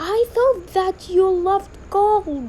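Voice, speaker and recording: Extremely high-pitched, a woman performs a put-on character voice. Clear background noise runs underneath. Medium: read story. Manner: calm.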